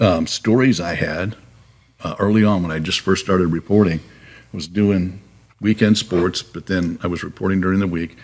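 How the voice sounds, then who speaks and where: A man's very deep, low voice at a moderate pace with fairly even intonation. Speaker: retired TV news anchor. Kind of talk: casual interview, storytelling.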